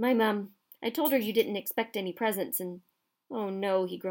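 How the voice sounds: Over a quiet background, the pitch shifts ordinarily through a natural reading voice.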